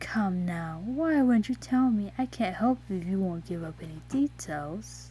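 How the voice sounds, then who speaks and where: Putting on a character voice, a woman talks at a moderate pace with hardly any pauses over clear background noise. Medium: read story. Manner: flirty, teasing.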